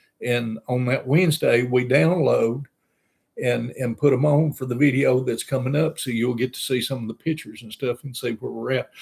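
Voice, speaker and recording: Here a man speaks at a moderate pace and a medium pitch. His voice is somewhat breathy, with fairly even intonation. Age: 60s. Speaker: RV travel vlogger. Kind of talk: casual chat. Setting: live stream. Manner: halting.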